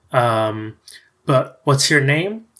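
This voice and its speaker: At a fairly slow pace, an unremarkable speaking voice comes through on a very clean recording with a silent background. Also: man. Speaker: game designer. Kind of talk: casual chat while playing a tabletop RPG.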